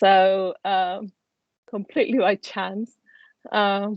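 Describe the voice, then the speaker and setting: A woman with an Argentine accent speaks very slowly at a medium pitch with fairly even intonation, in a dry, close sound with no echo. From Argentina. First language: Spanish. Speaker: life coach. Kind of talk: interview. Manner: hesitant, many fillers.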